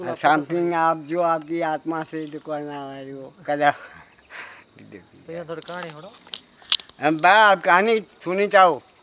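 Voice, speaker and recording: Over noticeable background noise, a man with a fairly high pitch talks with fairly even intonation and big swings in loudness. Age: old. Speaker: village storyteller. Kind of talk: oral folk tale telling to visitors. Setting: outdoors.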